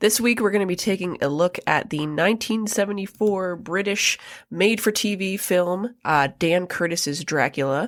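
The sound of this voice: A woman speaks at a moderate pace with a fairly low pitch and ordinary pitch variation. The recording is very clean, with a silent background.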